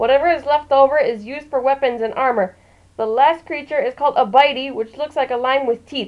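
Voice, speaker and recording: A woman's high-pitched voice moves at a fairly quick pace with ordinary pitch variation. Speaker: author. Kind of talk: book review. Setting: low-quality home microphone. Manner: quiet.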